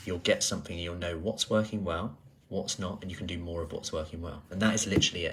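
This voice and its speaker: A soft-spoken man talks with fairly even intonation on a very clean recording with a silent background. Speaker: personal trainer. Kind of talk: casual vlog chat.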